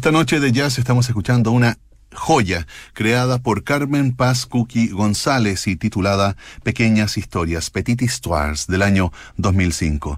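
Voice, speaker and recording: Lively intonation and very even loudness mark this fairly slow speech, recorded very cleanly against a silent background. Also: man, medium pitch for a man. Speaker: radio host. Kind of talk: radio music show presentation.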